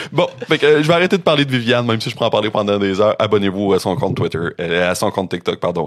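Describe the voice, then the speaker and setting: Very fast and with hardly any pauses, the speech comes in a Quebec accent with lively intonation. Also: man, fairly low pitch for a man. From Quebec, Rimouski (Bas-Saint-Laurent). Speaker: podcast host presenting researched topic. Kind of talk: casual chat presenting a researched story. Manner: conversational, with frequent fillers (euh).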